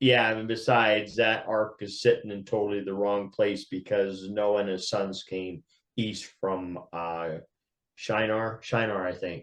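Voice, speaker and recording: Fairly low in pitch, a man with a plain, everyday voice speaks at a fairly slow pace with fairly even intonation. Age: 60s. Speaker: podcast co-host. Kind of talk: casual chat.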